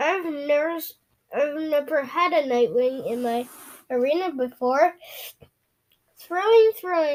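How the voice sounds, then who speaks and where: Using a put-on character voice, a woman speaks at a high pitch and a fairly slow pace, leaving long, frequent pauses. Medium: read story. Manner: pleasant-sounding but menacing, haughty.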